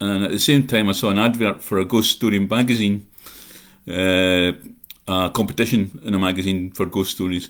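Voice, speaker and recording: With a Scottish accent, a man at a fairly low pitch speaks at a moderate pace with fairly even intonation. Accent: Scottish, unchanged. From Scotland, North Ayrshire. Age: 60s. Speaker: horror writer. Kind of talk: live chat monologue. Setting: livestream. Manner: rambling with filler uh.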